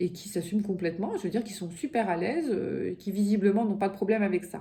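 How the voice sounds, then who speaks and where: At a rather quick tempo and with normal pitch movement, the speaker sounds somewhat breathy. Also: woman. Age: 50s. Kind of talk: casual talk to camera.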